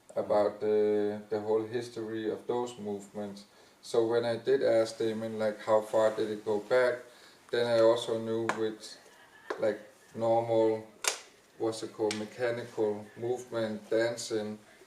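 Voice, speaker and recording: The speech comes at a fairly slow pace in a flat monotone, with noticeable background noise. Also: man, medium pitch for a man. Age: 50s. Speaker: dancer and dance teacher. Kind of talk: panel discussion.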